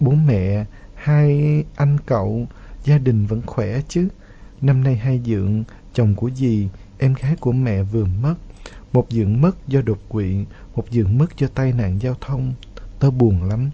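A man speaks at a fairly slow pace in a somewhat breathy voice of medium pitch. His pitch variation is ordinary, and he leaves long, frequent pauses. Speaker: radio host. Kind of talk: radio show hosting, reading listener letters.

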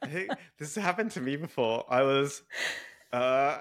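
Over a silent background in a very clean recording, a man with a British accent speaks with a bright, sharp tone and a fairly high pitch. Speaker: relationship podcast host. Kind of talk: casual interview.

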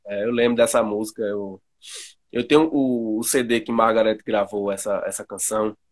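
In a very clean recording with a silent background, a man talks at a moderate pace in a plain, everyday voice of medium pitch. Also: fairly even intonation. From Pernambuco, Brazil. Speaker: podcast host and music researcher. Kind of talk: interview.

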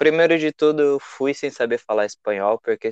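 At a moderate pace, a man speaks in a fairly high pitch, the sound dry and close with no echo. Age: 20s. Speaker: traveler. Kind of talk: casual interview.

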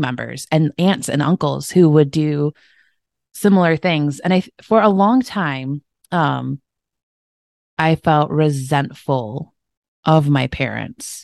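Her pace is very slow. The woman's pitch is very deep and low, in a Midwestern American accent. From Michigan, US. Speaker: health and wellness coach. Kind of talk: interview.

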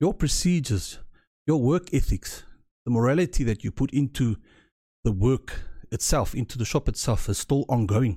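A man speaks at a fairly quick pace with a somewhat breathy, dark, mellow tone and a fairly high pitch. His pitch swings very widely, and the recording is very clean with a silent background. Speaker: podcast host. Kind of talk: solo commentary podcast.

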